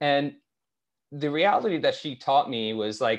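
Against a quiet background, a man speaks with a plain, everyday voice at a moderate pace. His pitch is fairly high and his intonation lively. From Canada, Toronto. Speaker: startup founder. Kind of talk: interview.

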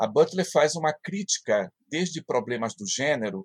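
Dry and close with no echo, a man's voice carries lively intonation. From Brazil, Pará (Marajó island). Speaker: philosophy professor. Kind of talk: interview.

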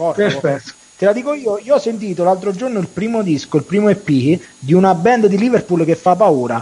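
The speech comes at a fairly quick pace with lively intonation. Noticeable background noise runs underneath. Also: man, high pitch for a man. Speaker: radio host. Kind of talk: casual chat. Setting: studio. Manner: animated.

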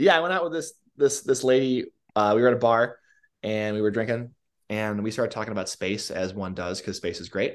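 With an unremarkable speaking voice, a man at medium pitch talks at a fairly quick pace with lively intonation. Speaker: podcast guest, brother of host. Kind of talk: casual chat.

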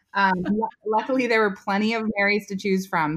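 A Californian accent in a very clean recording with a silent background. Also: woman. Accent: General American (Californian). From US West Coast, Silicon Valley, California. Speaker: rancher and business owner. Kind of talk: casual interview chat.

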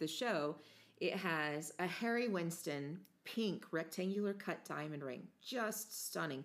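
Here a woman speaks with an American accent. Her pitch is fairly low. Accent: fluctuating, hard-to-place American. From United States. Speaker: podcast host.

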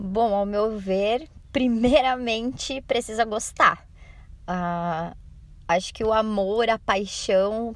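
A woman's fairly high pitch with fairly even intonation. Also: very clean recording, silent background. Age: 20s. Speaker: dance teacher. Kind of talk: recorded voice-message answers.

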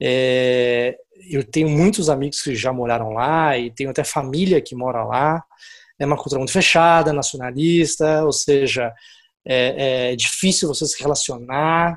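A man's fairly high voice at a fairly slow pace, with ordinary pitch movement, on a very clean recording with a silent background. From Brazil, São Paulo. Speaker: angel investor and business executive. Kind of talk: interview.

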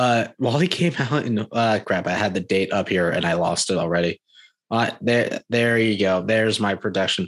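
In a plain, everyday voice, a man speaks at a moderate pace with a fairly low pitch, ordinary pitch variation, and very even loudness over a quiet background. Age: 20s. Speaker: podcast host. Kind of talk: casual chat.

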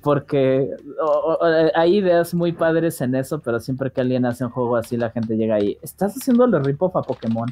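A fairly quick pace with a Mexican accent. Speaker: podcast co-host. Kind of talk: casual chat.

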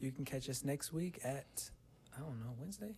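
A man speaks at a moderate pace in a fairly high, somewhat breathy voice with a dark, mellow tone. His pitch varies in an ordinary way. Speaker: musician. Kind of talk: casual chat. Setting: home recording. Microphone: microphone plugged into laptop.

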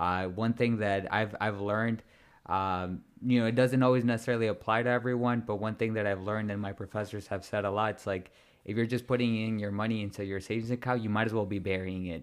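On a very clean recording with a silent background, a man with a fairly low pitch speaks at a very fast pace. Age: 20s. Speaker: podcast host. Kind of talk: casual interview. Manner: nervous, excited.

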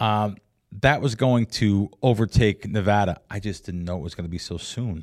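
On a very clean recording with a silent background, a man with a fairly low voice and an American accent speaks at a moderate pace, with ordinary pitch variation and big swings in loudness. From New Jersey / New York area. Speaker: professional sports bettor. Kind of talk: casual interview. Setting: studio.

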